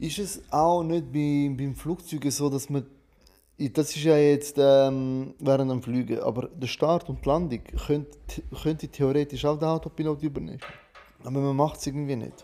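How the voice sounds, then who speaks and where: Fairly high male voice with a dark, mellow tone, fairly even intonation and a moderate pace. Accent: non-native. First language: not German (speaking German). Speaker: podcast co-host. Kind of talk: casual chat.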